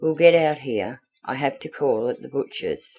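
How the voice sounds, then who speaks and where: Using a put-on character voice, a man sounds raspy at a fairly high pitch and a moderate pace. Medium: read story. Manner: brisk, matter-of-fact.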